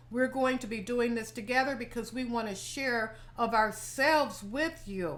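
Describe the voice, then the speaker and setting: Amid noticeable background noise and audible room echo, a woman talks in a high pitch. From US South. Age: 70s. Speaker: lifestyle vlogger. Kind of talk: casual chat.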